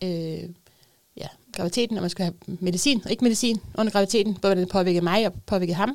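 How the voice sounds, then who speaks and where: A woman uses a normal speaking voice at a medium pitch with ordinary pitch variation. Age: 30s. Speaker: mother with a psychiatric diagnosis. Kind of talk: casual chat. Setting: studio.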